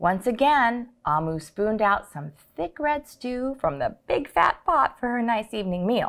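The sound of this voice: The delivery is an unforced reading voice. Its intonation is lively.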